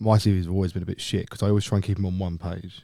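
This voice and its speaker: With a London accent, a man talks very fast in a very deep, low voice with a dark, mellow tone and monotone, flat intonation, on a very clean recording with a silent background. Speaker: podcast co-host. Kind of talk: casual chat.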